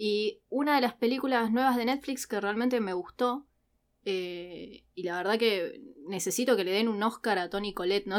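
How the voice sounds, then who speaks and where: A woman talks at a moderate pace. Her pitch moves in an ordinary way. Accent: Rioplatense. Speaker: podcast co-host, university student. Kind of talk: casual chat.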